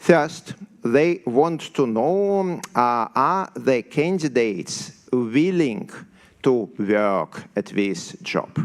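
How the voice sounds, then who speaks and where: A man's very slow speech with a strong Siberian accent, medium pitch and very wide pitch swings. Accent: severe Siberian. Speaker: software developer. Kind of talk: conference talk. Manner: halting, many fillers.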